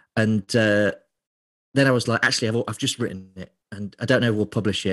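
Over a quiet background, a man with an East Midlands accent speaks at medium pitch with fairly even intonation. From England, Lincolnshire. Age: 30s. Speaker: beer writer. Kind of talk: interview.

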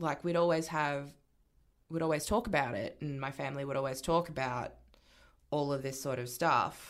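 A woman with an Australian accent has a very deep, low pitch and ordinary pitch variation. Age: 20s. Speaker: union organiser and activist. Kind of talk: casual chat.

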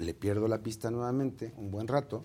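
This man's voice sits at a fairly low pitch, with a dark, mellow tone. He moves at a fairly slow pace and shows ordinary pitch variation. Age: 50s. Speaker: entertainment columnist and publicist. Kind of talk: interview.

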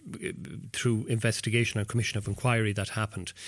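Very clean recording of a male voice, medium in pitch, with ordinary pitch variation and a silent background. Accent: Irish. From west of Ireland, County Mayo coast. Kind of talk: interview. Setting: hotel. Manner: halting, many repetitions and fillers.

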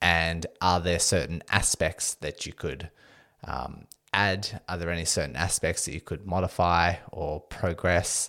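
A man speaks with a very deep, low pitch, fairly even intonation and vocal fry. His tone is bright and sharp, on a very clean recording with a silent background. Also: fairly slow pace. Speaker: physiotherapist and podcast host. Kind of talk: solo educational podcast.

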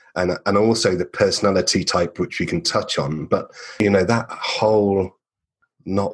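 A man's fairly low voice with an English accent. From England. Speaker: marketer and podcast creator. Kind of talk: interview conversation.

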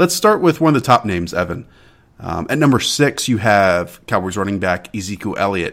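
Fairly quick, lively intonation from a man with a fairly low pitch and an ordinary speaking voice. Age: 20s. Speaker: fantasy football podcast host. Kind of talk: casual podcast interview. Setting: Skype call, recording at home.

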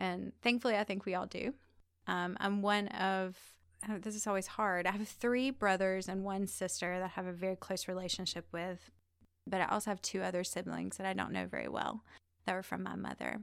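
A woman with a Southern US accent talks fairly quickly in a monotone, flat way on a very clean recording with a silent background. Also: medium pitch for a woman. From US South, Georgia (near Savannah). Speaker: magazine editor and storyteller. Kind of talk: personal testimony.

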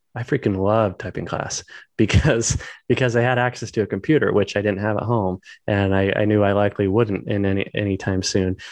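Against a quiet background, a man with a fairly low pitch speaks at a moderate pace. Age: 30s. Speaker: SEO agency owner and author. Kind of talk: interview. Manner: halting.

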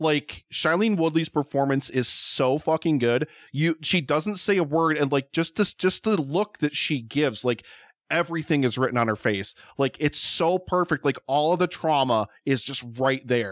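An unremarkable speaking voice: a man with a fairly high pitch, ordinary pitch variation, very even loudness and a moderate pace, in a very clean, silent recording with a dry, close sound and no echo. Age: 40s. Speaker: podcaster, food show host. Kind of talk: casual chat.

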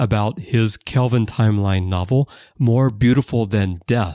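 A man with an American accent and medium pitch speaks with lively intonation in an unremarkable speaking voice. The recording is very clean with a silent background, and the sound is dry and close with no echo. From United States. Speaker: podcast host, magazine writer and editor. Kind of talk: casual chat.

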